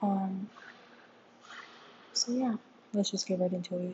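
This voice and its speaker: Her voice somewhat breathy, a woman speaks with fairly even intonation. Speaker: podcast host. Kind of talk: casual commentary. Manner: hesitant, many fillers. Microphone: room echo.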